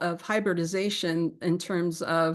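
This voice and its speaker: Behind the woman speaking, the background is quiet. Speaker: evolutionary biology researcher. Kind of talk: academic seminar talk; answering audience questions. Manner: fast.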